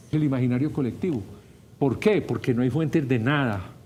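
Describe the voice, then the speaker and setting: Audible room echo surrounds a man speaking at a fairly high pitch. He talks at a fairly quick pace with ordinary pitch variation. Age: 70s. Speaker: professor and political commentator. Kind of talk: talk radio interview. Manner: animated, energetic.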